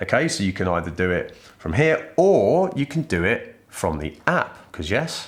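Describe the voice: Speaking at a moderate pace, a man with a fairly low voice makes big pitch swings.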